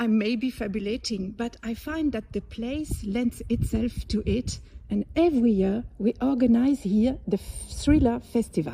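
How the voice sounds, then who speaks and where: A woman speaks in a French accent at a fairly slow pace, her fairly high voice somewhat breathy with a dark, mellow tone and ordinary pitch variation. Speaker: interviewer. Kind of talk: casual talk to camera.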